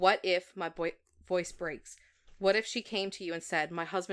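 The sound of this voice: This is an unforced reading voice. Nothing more stands out.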